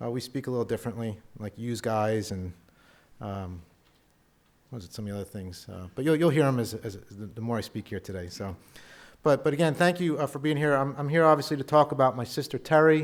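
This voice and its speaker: A man with an American accent talks at a very fast pace and a medium pitch. His loudness swings a great deal. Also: lively intonation. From US, Philadelphia. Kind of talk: conference talk. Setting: stage with audience. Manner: halting, many repetitions and fillers.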